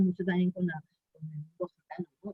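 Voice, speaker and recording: A somewhat breathy woman at a fairly quick pace, with ordinary pitch variation. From Aragon, Spain (Binéfar, Huesca). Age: 60s. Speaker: feminist activist. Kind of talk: interview. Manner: halting, many repetitions and fillers.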